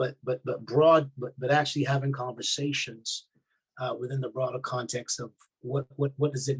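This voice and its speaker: In a Barbadian accent, a man with a medium pitch and a somewhat breathy voice speaks at a moderate pace. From Barbados. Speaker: army chaplain. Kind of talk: interview. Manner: halting, many repetitions.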